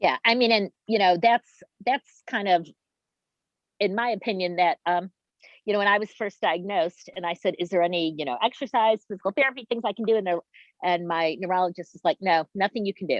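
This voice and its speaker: A woman with an unremarkable speaking voice talks at a fairly quick pace with ordinary pitch variation. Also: medium pitch for a woman. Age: 60s. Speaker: patient attendee asking questions. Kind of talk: Q&A at chapter meeting.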